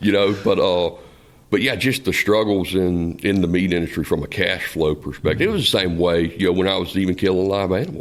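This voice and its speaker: A man with a Southern US accent and a very deep, low pitch, at a fairly quick pace and very even loudness, in a very clean recording with a silent background. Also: ordinary pitch variation. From South Central Florida. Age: 40s. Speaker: meat business owner. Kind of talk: podcast interview. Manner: halting, many repetitions and fillers.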